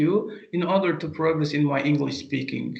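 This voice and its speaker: Audible room echo and noticeable background noise surround a man. His voice is high-pitched, with fairly even intonation. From Azerbaijan. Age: 30s. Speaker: language teacher. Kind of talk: interview. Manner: halting, many fillers.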